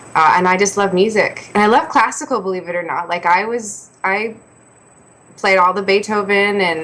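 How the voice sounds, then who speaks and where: With a Canadian accent, a woman speaks at a moderate pace and medium pitch, her pitch varying in an ordinary way over noticeable background noise. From Canada, Ontario west of Toronto. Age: 20s. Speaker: singer-songwriter. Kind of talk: interview.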